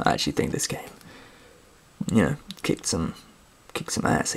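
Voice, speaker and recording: Over noticeable background noise, a soft-spoken person whispers. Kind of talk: softly spoken ASMR show-and-tell about video games; casual talk to camera. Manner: soft-spoken, whispery.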